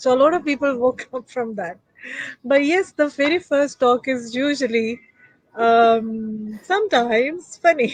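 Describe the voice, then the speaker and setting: A woman's high pitch with lively intonation. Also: fairly slow pace. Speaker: talk show host. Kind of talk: interview conversation. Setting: live online stream. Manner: slow.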